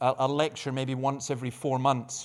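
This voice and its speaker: This man has a Dundee accent. His pitch is fairly high, and he keeps a moderate pace. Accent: Scottish (Dundee). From Scotland, Dundee. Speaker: pastor. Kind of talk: conference talk. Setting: stage with audience.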